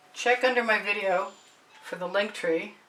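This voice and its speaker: Noticeable background noise sits behind a woman who speaks quietly and fairly slowly at a fairly high pitch. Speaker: artist and art tutor. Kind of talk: painting demonstration. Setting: home art studio. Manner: casual.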